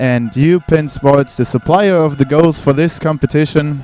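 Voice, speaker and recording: Fairly high-pitched male voice with a German accent, fairly even intonation, and a dry, close sound with no echo. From Germany. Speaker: sports commentator. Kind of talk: live commentary.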